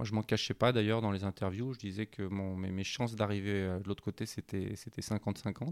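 Moderate pace with hardly any pauses, fairly even intonation, a dry, close sound with no echo, and a very clean recording with a silent background. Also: man, fairly low pitch for a man. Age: 50s. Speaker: offshore sailor. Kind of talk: interview. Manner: halting.

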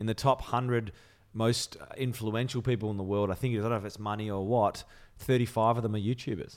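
A man in an Australian accent speaks with a monotone, flat intonation. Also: medium pitch for a man, fairly quick pace. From Melbourne, Australia. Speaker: TV presenter. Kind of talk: casual chat.

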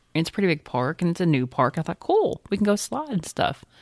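At a moderate pace, a woman speaks with ordinary pitch variation on a very clean recording with a silent background and a dry, close sound with no echo. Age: 40s. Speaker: teacher and podcast co-host. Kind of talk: casual chat.

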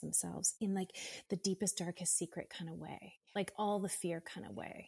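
A woman with a medium pitch sounds somewhat breathy in a dry, close recording with no echo, very clean over a silent background. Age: 50s. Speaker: yoga and meditation teacher. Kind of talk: casual chat.

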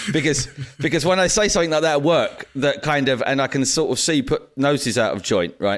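Fairly high in pitch, a man speaks fairly quickly with lively intonation and very even loudness over noticeable background noise. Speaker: podcast host. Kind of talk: casual chat. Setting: remote call.

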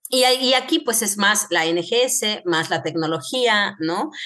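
A woman's intonation is lively, and noticeable background noise sits behind her. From Mexico, Querétaro. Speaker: medical geneticist. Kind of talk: interview.

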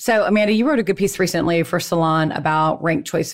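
With a plain, everyday voice, a woman talks at a fairly quick pace, her fairly low pitch showing ordinary pitch variation. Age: 50s. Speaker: podcast host, former political aide. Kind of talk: interview.

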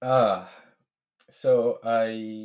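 A man speaks in a Spanish accent. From Venezuela. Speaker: software engineer. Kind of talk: casual interview.

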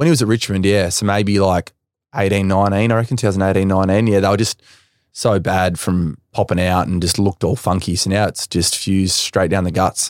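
On a very clean recording with a silent background and a dry, close sound with no echo, a man with an Australian accent speaks fairly quickly at a fairly low pitch with fairly even intonation. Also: very even loudness. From Western Australia. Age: 20s. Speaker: professional footballer. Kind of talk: casual chat.

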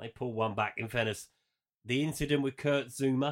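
The speaker has an English accent. The intonation stays fairly even. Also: man. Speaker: football podcast host. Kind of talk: casual chat.

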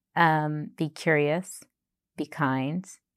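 A dry, close sound with no echo, with an American accent. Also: woman, very clean recording, silent background. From Boston, US. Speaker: chief operations officer at a digital bank. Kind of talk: casual interview conversation. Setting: in-person interview at her office.

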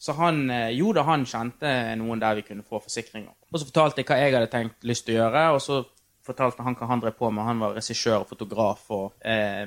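Fairly quick in tempo, the man uses an ordinary speaking voice, pitched medium with ordinary pitch variation. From Norway, Bergen (Fyllingsdalen). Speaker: TV producer. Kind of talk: casual chat. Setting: backstage at a venue.

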